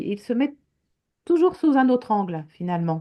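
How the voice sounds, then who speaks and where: A woman's fairly high voice in a French accent, dark and mellow in tone, with very wide pitch swings. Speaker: teacher and author. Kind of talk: interview in French.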